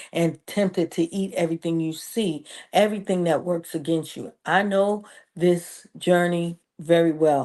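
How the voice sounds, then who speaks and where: A plain, everyday voice speaks at a moderate pace with ordinary pitch variation against a quiet background. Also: woman. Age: 60s. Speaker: preacher and women's ministry leader. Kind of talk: motivational health talk.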